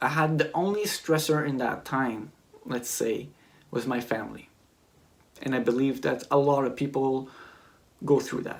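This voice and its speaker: A man in a Quebec accent talks at a moderate pace and a medium pitch, with ordinary pitch variation and long, frequent pauses. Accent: French-Canadian accent in English. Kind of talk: personal testimony vlog. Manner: hesitant, searching for words.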